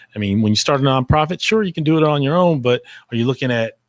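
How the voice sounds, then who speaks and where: A man's lively intonation at a fairly quick pace, in a very clean recording with a silent background. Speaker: interview show host. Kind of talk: interview. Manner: loud.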